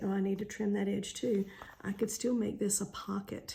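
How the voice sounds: A woman speaks at medium pitch and a moderate pace, with vocal fry and a dark, mellow tone. Her pitch moves little, and the room echo is audible.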